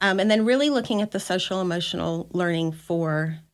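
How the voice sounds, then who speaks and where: A woman speaks at a moderate pace and medium pitch with lively intonation, in an unremarkable speaking voice. The recording is very clean, with a silent background. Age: 50s. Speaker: school district director of federal programs. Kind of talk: casual interview chat.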